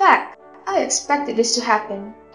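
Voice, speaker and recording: A woman's fairly high voice with lively intonation at a moderate pace, music playing in the background. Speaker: gaming commentator. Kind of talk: video game commentary.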